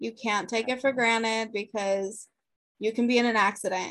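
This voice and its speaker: A woman with an unremarkable speaking voice talks at a moderate pace and fairly high pitch against a quiet background. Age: 30s. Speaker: podcast co-host, mother. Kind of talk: casual chat.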